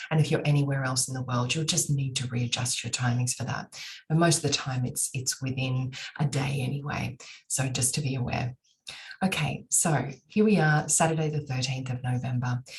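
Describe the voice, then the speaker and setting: With an Australian accent, a woman speaks at a moderate pace in a very deep, low voice with fairly even intonation. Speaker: astrologer. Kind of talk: monologue to camera.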